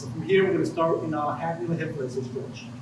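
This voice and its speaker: The speech comes at a very fast pace. Background noise is noticeable, and room echo is audible. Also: man. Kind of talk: tutorial. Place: gym. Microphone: camera far.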